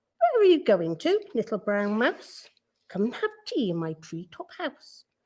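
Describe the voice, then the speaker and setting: A woman puts on a character voice with a fairly high pitch. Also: moderate pace. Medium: read story.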